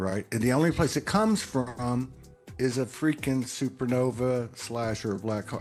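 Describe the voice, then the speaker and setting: A man talks with a Texas accent. His pitch varies in an ordinary way. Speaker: spiritual podcaster. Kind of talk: casual chat. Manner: halting, many fillers and repeats.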